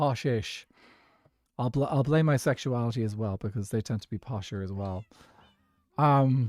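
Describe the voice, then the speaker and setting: With long, frequent pauses, a man talks using ordinary pitch variation. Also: medium pitch for a man, moderate pace, dry, close sound with no echo, very clean recording, silent background. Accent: Irish. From Ireland, Dublin. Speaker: gaming streamer. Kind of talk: casual chat. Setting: live stream.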